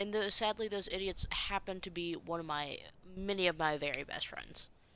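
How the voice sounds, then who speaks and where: The voice is soft-spoken. Its pitch varies in an ordinary way. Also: woman, medium pitch for a woman, moderate pace. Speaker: game streamer. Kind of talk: live gameplay commentary. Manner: halting. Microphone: quiet audio.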